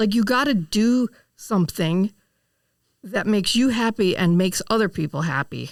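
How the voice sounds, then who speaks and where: This is an ordinary speaking voice with lively intonation and very even loudness throughout. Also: woman, medium pitch for a woman, moderate pace. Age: 60s. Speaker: music shop owner and musician. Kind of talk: podcast interview.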